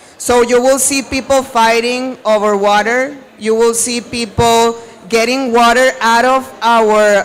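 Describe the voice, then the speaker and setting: At a very slow pace and with a Spanish accent, the speaker talks over noticeable background noise. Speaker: university sustainability staff. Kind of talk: panel discussion. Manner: animated.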